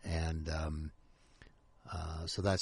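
A man speaks with a very deep, low pitch and a somewhat breathy voice. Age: 60s. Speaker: author. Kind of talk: casual chat. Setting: radio studio.

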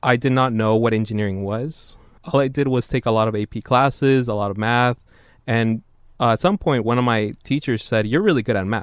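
A man with a plain, everyday voice talks at a fairly quick pace and medium pitch, his intonation fairly even, in a dry, close sound with no echo and a quiet background. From San Jose, California (born in Mexico). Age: 20s. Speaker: engineering student researcher. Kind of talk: interview.

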